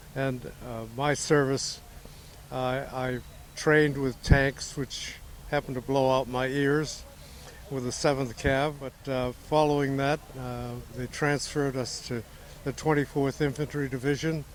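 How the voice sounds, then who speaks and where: A man at a medium pitch speaks in a monotone, flat intonation at a fairly slow pace, with noticeable background noise. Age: 90s. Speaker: war veteran. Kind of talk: testimony.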